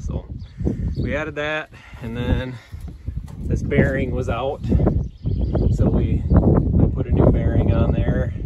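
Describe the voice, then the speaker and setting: Loud background noise surrounds a man speaking in a dry sound with no echo. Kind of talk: casual tutorial walkthrough. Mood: relaxed, matter-of-fact. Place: farm machine. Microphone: phone near.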